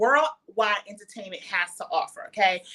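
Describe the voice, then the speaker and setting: Loud and bright, with a sharp tone, a woman talks at a moderate pace with very wide pitch swings. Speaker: podcast host. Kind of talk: casual chat. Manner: animated.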